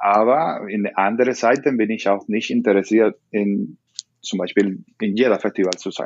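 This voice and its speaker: With a Spanish accent, a man talks at a moderate pace, his fairly low pitch carried by fairly even intonation. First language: Spanish (speaking German). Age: 30s. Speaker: salsa dance teacher. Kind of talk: interview. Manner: halting.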